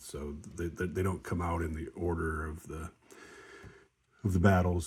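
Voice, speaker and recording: Somewhat breathy, a man with a very deep, low pitch talks at a moderate pace with fairly even intonation. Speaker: board wargame player. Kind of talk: casual tutorial. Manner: halting, many fillers.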